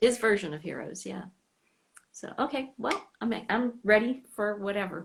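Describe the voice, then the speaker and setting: A woman with an American accent speaks at a moderate pace in a fairly high, somewhat breathy voice, with ordinary pitch variation and big swings in loudness. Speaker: fan club host. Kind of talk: casual chat. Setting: Instagram live stream.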